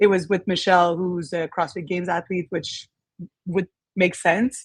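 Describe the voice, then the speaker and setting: Against a quiet background, a voice with a French Canadian accent and fairly even intonation has a dry, close sound with no echo. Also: woman, fairly low pitch for a woman, moderate pace. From Quebec, Canada. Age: 30s. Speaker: gym owner. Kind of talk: interview.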